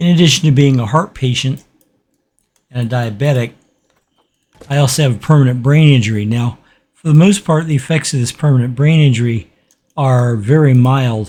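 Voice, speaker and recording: A man's somewhat breathy, dark and mellow voice of medium pitch, at a fairly quick pace with ordinary pitch variation and long, frequent pauses. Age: old. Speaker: gaming youtuber. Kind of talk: let's play commentary. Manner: slurred speech.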